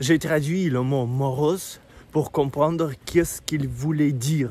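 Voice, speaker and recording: This man's voice is pitched fairly high and has a dark, mellow tone, with fairly even intonation. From Russia. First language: Russian (speaking French). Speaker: vlogger. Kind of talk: casual walking vlog. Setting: outdoors, walking. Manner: halting, with hesitations.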